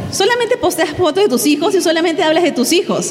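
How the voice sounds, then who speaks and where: A woman speaks at an extremely high pitch with very wide pitch swings. Audible room echo and noticeable background noise accompany her. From Peru. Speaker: pastor and guest speaker. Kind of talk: sermon.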